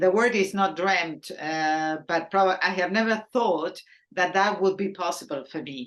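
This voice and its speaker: Speaking fairly slowly with a Spanish accent, a woman uses a medium pitch and ordinary pitch variation. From Argentina. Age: 60s. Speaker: painter. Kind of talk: interview.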